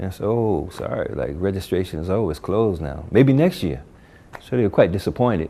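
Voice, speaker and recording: A man's fairly low, dark, mellow voice with lively intonation, at a fairly quick pace, with an American accent. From US Northeast, Newark, New Jersey. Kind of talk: interview testimony. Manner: casual, many filler words.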